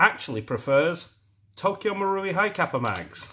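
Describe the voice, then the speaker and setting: Raised and projected, a man's high-pitched voice with a British accent has a bright, sharp tone and lively intonation. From UK. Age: middle-aged. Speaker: airsoft product reviewer, YouTuber. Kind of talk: product review. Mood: disappointed, critical. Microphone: phone near.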